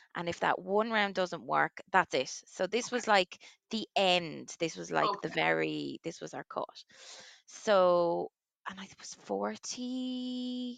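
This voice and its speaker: Speaking fairly slowly in a Waterford Irish accent, the animated voice swings widely in loudness, with a dry, close sound and no echo. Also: woman. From Ireland, Waterford. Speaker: commercial director, twin mother. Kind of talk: interview testimony.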